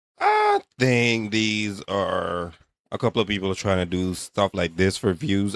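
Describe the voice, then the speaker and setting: An unremarkable speaking voice comes through at a fairly slow pace in a dry, close sound with no echo. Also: man. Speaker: reaction video host. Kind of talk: casual reaction commentary.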